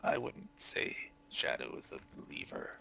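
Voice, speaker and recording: A man puts on a raspy character voice pitched extremely high. Clear background noise runs behind him. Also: moderate pace. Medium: actual play. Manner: cryptic, guarded.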